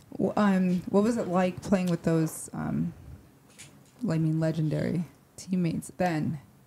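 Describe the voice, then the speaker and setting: A woman with an American accent speaks at a fairly slow pace in a fairly low pitch, her dark, mellow tone somewhat breathy and her intonation fairly even, with long, frequent pauses over light background noise. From upstate New York. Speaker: podcast host. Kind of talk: casual interview. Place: studio. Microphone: handheld.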